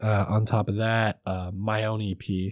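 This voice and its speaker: An ordinary speaking voice moves at a fairly slow pace with fairly even intonation, in a very clean recording with a silent background and a dry, close sound with no echo. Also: man. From Russian-American community, church upbringing. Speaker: rapper and comedian. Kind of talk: casual interview chat.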